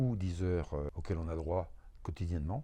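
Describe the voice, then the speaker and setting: A man speaks with a very deep, low pitch and a dark, mellow tone. His pitch varies in an ordinary way over a quiet background. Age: 70s. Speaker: retired truck driver, temp worker. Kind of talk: interview testimony.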